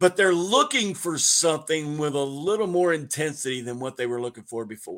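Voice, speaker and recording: A man with a fairly high pitch, an ordinary speaking voice and lively intonation. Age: 50s. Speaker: pastor. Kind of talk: casual chat.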